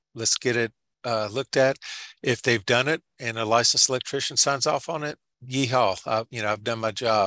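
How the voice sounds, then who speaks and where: With an American accent, a man speaks at a moderate pace in a bright, sharp tone with fairly even intonation. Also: medium pitch for a man, quiet background. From Georgia, US South. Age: 60s. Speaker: home inspector and presenter. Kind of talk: webinar presentation. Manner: casual, halting.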